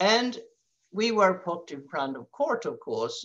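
A woman speaks with vocal fry and very wide pitch swings. Her pace is very slow, over a quiet background. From Sweden. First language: Swedish. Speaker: peace activist; webinar speaker. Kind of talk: presentation; webinar talk. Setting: video call. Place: home room. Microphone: headset.

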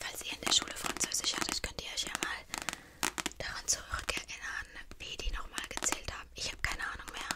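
Someone whispers over noticeable background noise. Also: woman, moderate pace. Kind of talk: ASMR video, casual talk to camera. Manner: soft, calming, whispering.

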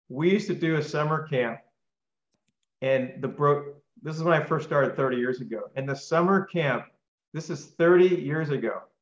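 At a moderate pace and with long, frequent pauses, a man speaks with ordinary pitch variation, audible room echo and a quiet background. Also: fairly high pitch for a man. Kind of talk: live Q&A on a video call. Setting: video call. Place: home room. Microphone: video call.

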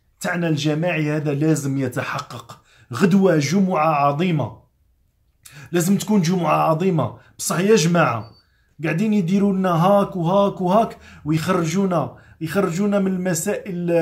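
Over a quiet background, a man speaks at a fairly slow pace. His voice is high-pitched with ordinary pitch variation. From Algeria. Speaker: chef and political commentator; political commentator. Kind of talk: motivational vlog monologue. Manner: animated. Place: home room.

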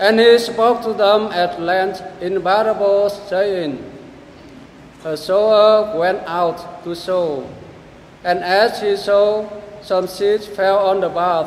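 A high-pitched male voice at a very slow pace, fairly even intonation, audible room echo and light background noise. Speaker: gospel reader at Mass. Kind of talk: reading aloud, scripture. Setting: church. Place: church.

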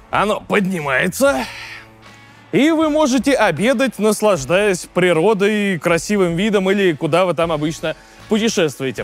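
A man talks at a moderate pace while music sounds faintly behind him. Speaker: car reviewer. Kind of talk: product walkaround commentary. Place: station.

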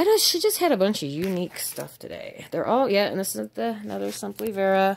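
A woman with an American accent speaks at a moderate pace over light background noise. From Nevada, US West. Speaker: thrift reseller. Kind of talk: casual haul video. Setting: at home with cats. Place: home room. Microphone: phone near.

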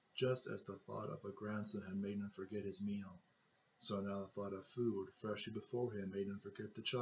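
A natural reading voice carries this clip.

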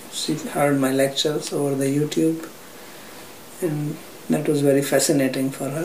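There is audible room echo and light background noise around this voice. A man speaks at a moderate pace with a fairly high pitch. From India, Haryana. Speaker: spiritual teacher. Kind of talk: interview. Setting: private flat. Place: home room.

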